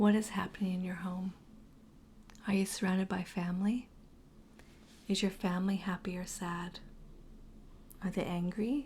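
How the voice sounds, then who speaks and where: Speaking with long, frequent pauses, a woman uses a calm, gentle tone, a somewhat breathy voice, fairly even intonation and a medium pitch. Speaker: guided meditation host. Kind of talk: guided meditation. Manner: calm, slow, gentle.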